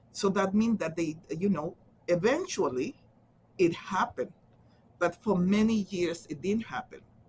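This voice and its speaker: A woman's somewhat breathy, fairly slow speech with a Central American accent and long, frequent pauses. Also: medium pitch for a woman, ordinary pitch variation. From Honduras. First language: Garifuna. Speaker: social worker. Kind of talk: interview answer.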